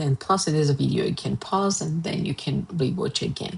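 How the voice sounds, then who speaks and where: A woman speaks with an Armenian accent. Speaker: art and design teacher. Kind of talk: tutorial. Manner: hesitant, many fillers.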